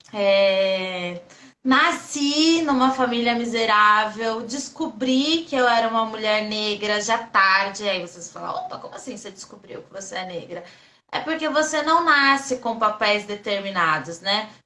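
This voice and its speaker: Pitched fairly high, a woman speaks at a fairly slow pace with lively intonation and big swings in loudness. Audible room echo surrounds her voice. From interior of São Paulo state, Brazil. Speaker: state legislator and activist. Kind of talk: interview on a live stream. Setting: online live stream. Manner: calm, soft-spoken.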